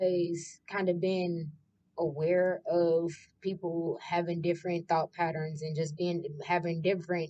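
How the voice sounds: The woman's voice is fairly low, with a dark, mellow tone. She speaks at a fairly slow pace with little pitch movement.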